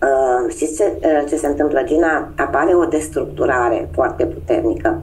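Speaking at a fairly slow pace, a woman talks. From Romania, Constanța; Romania. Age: 50s. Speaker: human design guide. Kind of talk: interview. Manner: hesitant, many fillers. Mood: calm, earnest. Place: home room. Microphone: video call.

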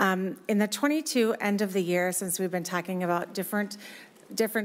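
Talking at a fairly quick pace, a woman with an American accent keeps her intonation fairly even. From US Midwest, rural western Minnesota. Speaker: county human services director. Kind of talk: legislative hearing testimony. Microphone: podium.

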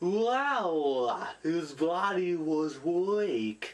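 In a put-on character voice, the speaker holds a middle pitch. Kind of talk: reaction video commentary.

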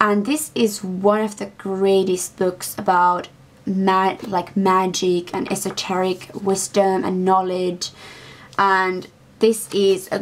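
A woman speaks very slowly in a monotone, flat delivery. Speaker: book vlogger. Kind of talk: casual vlog chat. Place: home room. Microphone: webcam.

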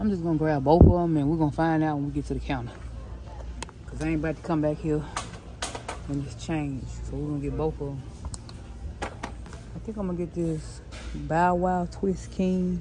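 Speech moves at a moderate pace over noticeable background noise. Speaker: vlogger shopping. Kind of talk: casual vlog chat. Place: shop. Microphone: phone near.

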